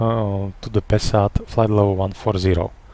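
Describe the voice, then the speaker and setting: A man speaks with a non-native accent at a fairly slow pace. His tone is dark and mellow. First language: not English. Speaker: airline captain. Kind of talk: flight simulator tutorial. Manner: hesitant, stuttering.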